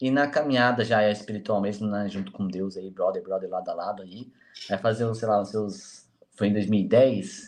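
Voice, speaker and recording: Somewhat deep male speech, its melody mostly level. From Jacareí, interior of São Paulo, Vale do Paraíba. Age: 20s. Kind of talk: casual interview chat.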